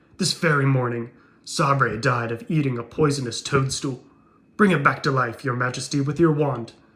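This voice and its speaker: A put-on character voice from a man, raised and projected, medium pitch, moderate pace. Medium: read story.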